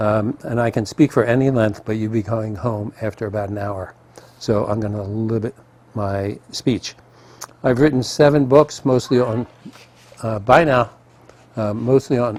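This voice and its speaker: A man with an American accent talks with fairly even intonation and long, frequent pauses, against noticeable background noise. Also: medium pitch for a man, moderate pace. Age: 60s. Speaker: marketing consultant and inventor advocate. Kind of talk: keynote presentation. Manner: hesitant with frequent ums and uhs.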